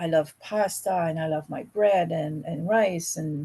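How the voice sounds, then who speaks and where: A dark, mellow voice with a somewhat breathy quality. It speaks at a very slow pace in a Quebec accent. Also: woman. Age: 50s. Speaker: podcast guest, real estate investor. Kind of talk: casual chat.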